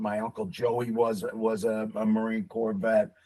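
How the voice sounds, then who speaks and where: Here a man with a Brooklyn accent speaks at a moderate pace. His pitch varies in an ordinary way. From Brooklyn, New York. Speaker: military veteran. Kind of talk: casual interview chat.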